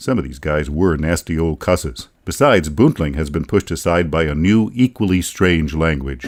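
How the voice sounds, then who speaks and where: Very deep and low, the man's voice carries lively intonation and vocal fry. The recording is very clean, with a silent background. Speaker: author narrator. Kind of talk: audiobook travel narration. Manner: wry, humorous.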